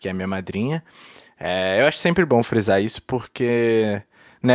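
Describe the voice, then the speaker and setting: A man speaks at a moderate pace with ordinary pitch variation and a medium pitch, in an ordinary speaking voice. The sound is dry and close, with no echo. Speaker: podcast co-host. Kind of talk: casual chat.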